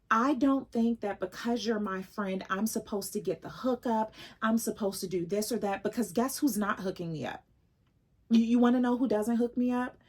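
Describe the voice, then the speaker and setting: A woman speaks at a fairly high pitch and somewhat breathy. Her pace is moderate. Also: ordinary pitch variation. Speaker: lifestyle vlogger. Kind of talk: casual vlog chat. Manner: pauses often.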